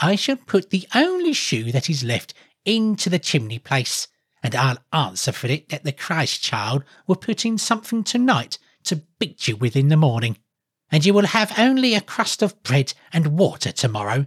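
A put-on character voice at middle pitch with very wide pitch swings, a moderate pace, and a very clean recording over a silent background. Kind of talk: storybook reading. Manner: scornful, mocking, wrathful.

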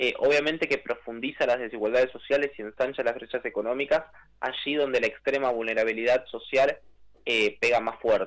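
A man's normal speaking voice at medium pitch, fairly even in intonation and fairly quick in pace. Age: 20s. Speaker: youth climate activist. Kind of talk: radio interview.

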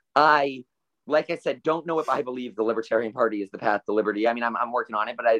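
Recorded dry and close with no echo, a man with an American accent has a plain, everyday voice. He talks at a medium pitch with ordinary pitch variation. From South Florida (Stuart). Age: 20s. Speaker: economics student and libertarian writer. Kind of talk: casual interview.

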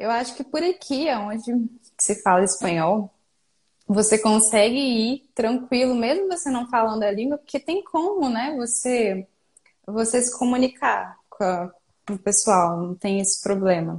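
Somewhat breathy, a woman speaks at a fairly slow pace. Her fairly high voice carries lively intonation. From Brazil, Espírito Santo. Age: 20s. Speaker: hiker and business owner. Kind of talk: casual interview. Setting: live online video call.

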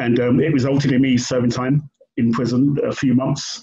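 In a London accent, a man speaks slowly-ish at a medium pitch, somewhat breathy, with a dark, mellow tone. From London, England. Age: 50s. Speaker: writer and activist. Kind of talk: interview. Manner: halting.

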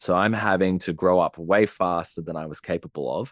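In a very clean recording with a silent background, a man with an Australian accent and a very deep, low pitch speaks at a moderate pace with fairly even intonation. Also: dry, close sound with no echo. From Australia, Sydney. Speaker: relationship and attachment coach. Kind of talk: casual interview conversation.

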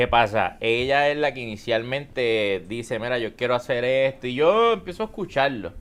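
Against a quiet background, a man uses an ordinary speaking voice at a medium pitch and moderate pace, with ordinary pitch variation and hardly any pauses. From Puerto Rico, Aguadilla. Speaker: content creator and entrepreneur. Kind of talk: casual interview. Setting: live stream studio with audience.

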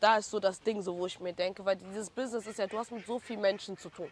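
At medium pitch, a woman speaks with monotone, flat intonation and big swings in loudness. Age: 20s. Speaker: hairstylist. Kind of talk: casual interview.

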